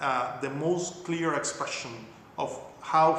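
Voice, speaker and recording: Noticeable background noise and audible room echo around fairly even intonation. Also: man. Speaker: academic lecturer on Cuba-US relations. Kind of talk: lecture. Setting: video call. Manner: fast.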